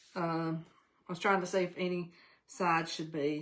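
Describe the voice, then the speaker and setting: A woman talks with a Southern US accent. Her pace is moderate. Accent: US South. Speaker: crafting channel host. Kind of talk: live craft tutorial stream. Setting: live stream. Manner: animated; loud.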